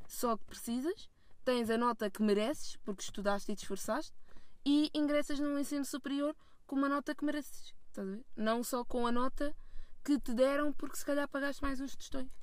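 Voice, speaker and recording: In a very clean recording against silence, the pitch moves by an ordinary amount. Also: woman. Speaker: film student. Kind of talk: casual chat. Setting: in a car.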